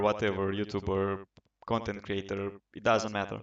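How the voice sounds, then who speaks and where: A man with a Romanian accent talks at a moderate pace in a fairly low pitch. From Romania, Bucharest. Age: 20s. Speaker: gaming podcaster. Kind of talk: casual monologue. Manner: hesitant, many fillers.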